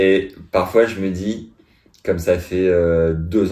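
Recorded very cleanly against a silent background, a man speaks at a very deep, low pitch with a dark, mellow tone and a monotone, flat intonation. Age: 30s. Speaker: podcast host. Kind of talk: casual chat.

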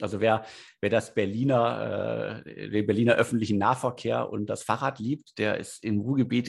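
His voice has a medium pitch. The man speaks with vocal fry. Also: quiet background. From Ruhr area, Germany (Bottrop). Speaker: editor-in-chief of a startup news site. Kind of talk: interview. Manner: halting, many fillers.

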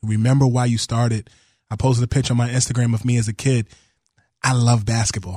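A man's somewhat breathy, dark, mellow voice at medium pitch, very fast yet with long, frequent pauses, monotone, flat intonation, very even loudness, and a dry, close sound with no echo. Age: 30s. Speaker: basketball reporter. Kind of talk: radio interview.

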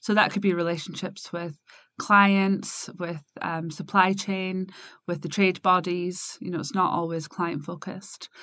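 In a slight Scottish accent, a woman talks at a fairly slow pace with a medium pitch and fairly even intonation. Her tone is bright and sharp, and the recording is very clean with a silent background. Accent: mild Scottish. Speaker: business consultancy co-founder. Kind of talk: casual chat.

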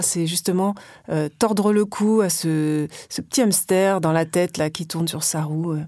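On a very clean recording with a silent background, a woman speaks in a dark, mellow tone at a medium pitch with ordinary pitch variation. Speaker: podcast host interviewer. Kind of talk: interview.

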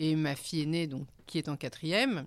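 A woman with a very deep, low pitch talks on a very clean recording with a silent background. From Paris, France. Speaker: returned expatriate. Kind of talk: casual chat.

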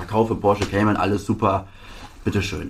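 A man's fairly low voice, somewhat breathy, in a flat monotone. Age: 20s. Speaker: sports car dealer. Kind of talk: interview. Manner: halting.

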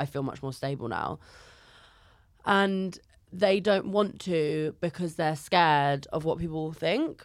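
In a London accent, a woman speaks fairly slowly with a fairly low pitch, ordinary pitch variation, and long, frequent pauses. The recording is very clean with a silent background. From North London. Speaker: comedian. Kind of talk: casual chat. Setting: studio.

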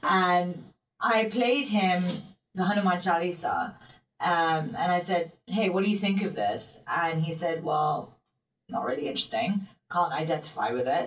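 Speaking at a fairly slow pace with a London accent, the voice is somewhat breathy and has lively intonation. Its loudness stays very even. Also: woman, fairly low pitch for a woman. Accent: British English, London. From London, England. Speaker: singer and motivational speaker. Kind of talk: casual interview chat.

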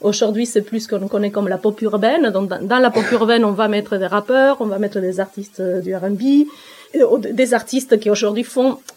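A woman speaks with a Spanish accent at a fairly high pitch. Her pace is moderate, with ordinary pitch variation. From Argentina. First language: Spanish (speaking French). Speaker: author, rap researcher. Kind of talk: interview conversation.

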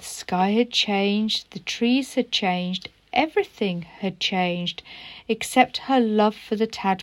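The pitch shows ordinary variation. The text is read aloud in a natural voice.

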